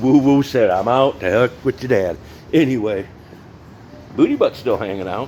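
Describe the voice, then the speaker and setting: Noticeable background noise sits behind the recording. A man speaks at a medium pitch and a moderate pace. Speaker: mechanic / vehicle builder. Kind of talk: casual workshop vlog. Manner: halting, self-described stuttering.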